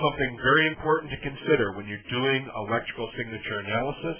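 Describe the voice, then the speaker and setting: Ordinary pitch variation in a man's moderately paced voice. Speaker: electrical reliability trainer. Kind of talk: technical training presentation. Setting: online presentation audio, slightly tinny.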